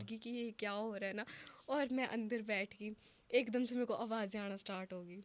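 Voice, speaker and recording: A woman's delivery has fairly even intonation and proceeds at a moderate pace. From Himachal Pradesh. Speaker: influencer and model. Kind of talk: podcast interview answer.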